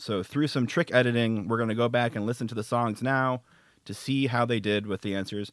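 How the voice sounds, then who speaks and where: An unremarkable speaking voice moves at a fairly quick pace with fairly even intonation. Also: man, medium pitch for a man. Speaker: game segment producer. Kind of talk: casual banter.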